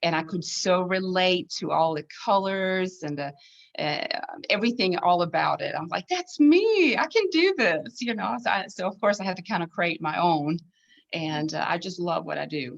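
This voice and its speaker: Speaking at a moderate pace, a woman with a Swedish accent uses medium pitch and lively intonation. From southern Sweden. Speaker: needlepoint designer and artist. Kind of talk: casual interview chat.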